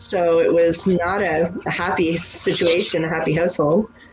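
Against noticeable background noise, a woman speaks at a fairly slow pace and fairly low pitch with fairly even intonation. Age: 40s. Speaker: business owner. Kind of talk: interview.

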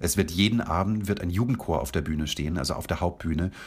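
A man speaks at a fairly quick pace with vocal fry. His tone is enthusiastic. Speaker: festival director and beatboxer. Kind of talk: radio interview. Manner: enthusiastic, with frequent fillers.

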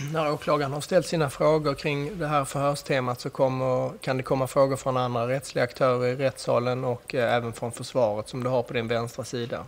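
Speaking at a very fast pace with hardly any pauses, a man keeps a medium pitch and fairly even intonation. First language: Swedish (speaking Persian). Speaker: judge. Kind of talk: formal court proceedings. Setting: courtroom. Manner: formal.

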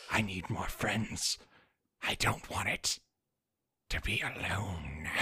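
A man's raspy, put-on character voice, very deep and low in pitch, at a very slow pace. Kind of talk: horror game master voice. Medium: actual play. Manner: eerie, lonely, coaxing.

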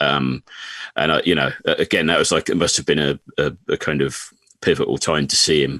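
A man speaks fairly quickly in an English accent, his loudness very even. The sound is dry and close, with no echo. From England. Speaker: country singer-songwriter. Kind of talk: casual chat.

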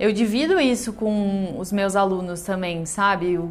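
A woman talks fairly slowly while noticeable background noise plays behind her. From Rio Grande do Sul, Brazil. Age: 30s. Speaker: entrepreneur, confectionery owner. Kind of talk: personal testimony.

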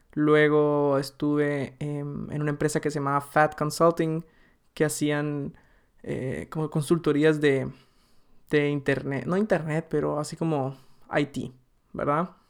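A very slow pace marks this man's speech, his pitch fairly high. The recording is very clean, with a silent background. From Guatemala. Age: 20s. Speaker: podcast host, marketer. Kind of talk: casual solo monologue. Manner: animated.

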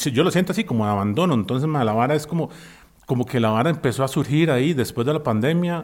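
A man with a Costa Rican accent, fairly high in pitch, with lively intonation at a very fast pace, in a very clean recording with a silent background. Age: 40s. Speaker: musician. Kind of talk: casual chat.

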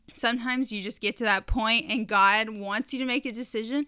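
Recorded very cleanly against a silent background, a woman speaks in a fairly high voice with a bright, sharp tone and ordinary pitch variation. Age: 20s. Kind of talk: casual devotional talk.

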